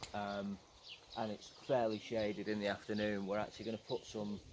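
A fairly low-pitched man at a fairly quick pace, monotone and flat in intonation, with noticeable background noise. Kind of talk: tutorial. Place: garden.

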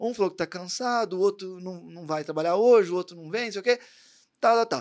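Lively intonation from a man, set against a quiet background. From Brazil, Barretos, São Paulo state interior; São Paulo state, Brazil. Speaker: podcast host and tattoo artist; podcast host. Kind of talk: casual interview chat; motivational speech. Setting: studio. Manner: animated. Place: studio. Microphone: studio mic.

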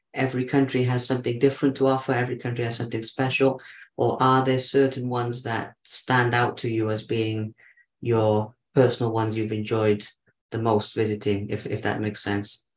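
A man talks at a fairly quick pace in a monotone, flat intonation, with audible room echo around him. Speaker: podcast host. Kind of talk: casual interview. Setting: video call. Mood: warm, admiring. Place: home room. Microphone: video call.

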